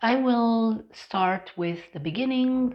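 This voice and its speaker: Speaking at a very slow pace, a woman talks. Her pitch varies in an ordinary way. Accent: Romanian. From Romania. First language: Romanian. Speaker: English teacher. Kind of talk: personal vlog monologue.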